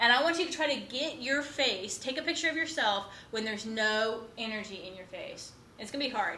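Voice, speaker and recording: A woman's high, lively voice at a fairly quick pace, with big swings in loudness, audible room echo and noticeable background noise. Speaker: college instructor. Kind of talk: lecture. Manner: fast.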